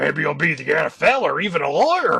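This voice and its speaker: A man puts on a raspy character voice and talks at a fairly quick pace. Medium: read story. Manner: gruff, blunt.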